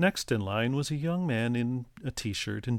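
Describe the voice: The voice is plain reading aloud, with lively intonation.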